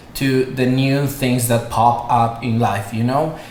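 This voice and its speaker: Someone with a Spanish accent talks at a fairly slow pace. The room echo is audible, and there is noticeable background noise. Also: man. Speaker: online yoga teacher. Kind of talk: casual podcast interview. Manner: hesitant, many fillers.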